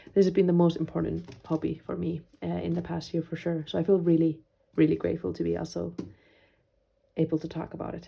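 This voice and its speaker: A woman with a Finnish accent talks at a very fast pace, her loudness swinging widely. Long pauses come often. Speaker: journaling YouTuber, medical student. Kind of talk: casual vlog chat. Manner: hesitant, many fillers.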